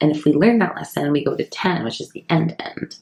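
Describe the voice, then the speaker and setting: A soft-spoken woman keeps to a moderate speed. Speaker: psychic medium and tarot reader. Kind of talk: tarot reading. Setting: at home.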